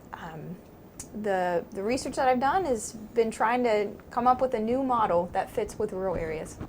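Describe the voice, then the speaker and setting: With a slight southeastern Ohio accent, a woman speaks at a moderate pace in a fairly high voice with lively intonation. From southeastern Ohio, Meigs County. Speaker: psychology professor. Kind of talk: interview.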